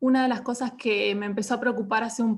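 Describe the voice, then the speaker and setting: A woman speaks at a very fast pace in a somewhat breathy, fairly high voice. Her intonation stays fairly even. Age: 30s. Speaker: data journalist. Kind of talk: online panel talk.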